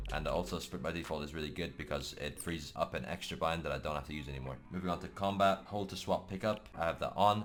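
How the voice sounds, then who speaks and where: Talking at a very fast pace with hardly any pauses, a man uses a very deep, low pitch with vocal fry and ordinary pitch variation. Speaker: gaming youtuber. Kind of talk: tutorial. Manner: casual.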